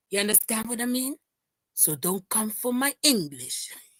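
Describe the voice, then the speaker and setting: With a Dutch Caribbean accent, a woman speaks at a moderate pace in a bright, sharp, animated tone at medium pitch, her very wide pitch swings captured in a dry, close sound with no echo. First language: Papiamento. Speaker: livestream commentator. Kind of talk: casual chat.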